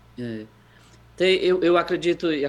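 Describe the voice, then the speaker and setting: Intonation stays fairly even. The speaker is a man. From Brazil, Fortaleza (Ceará). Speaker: educator living abroad. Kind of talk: interview conversation. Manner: halting, with many repetitions.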